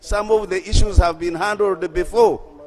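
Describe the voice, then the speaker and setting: Through noticeable background noise, a man talks at a moderate pace with a high pitch. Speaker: member of parliament. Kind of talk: parliamentary speech.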